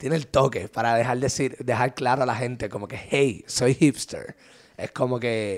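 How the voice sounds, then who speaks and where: A plain, everyday voice from a man, medium in pitch, with fairly even intonation at a moderate pace. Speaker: podcast co-host. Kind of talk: casual chat.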